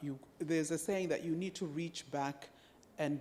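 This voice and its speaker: A woman's very deep, low voice with a dark, mellow tone, ordinary pitch variation and a Zambian accent, in a very clean recording with a silent background. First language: Bemba. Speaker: UN agency country representative. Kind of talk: panel discussion. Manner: halting.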